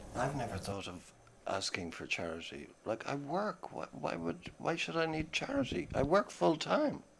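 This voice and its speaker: With an Irish accent and vocal fry, a man speaks at a moderate pace in a fairly high pitch with very wide pitch swings. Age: 50s. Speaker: tenant facing eviction. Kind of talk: interview.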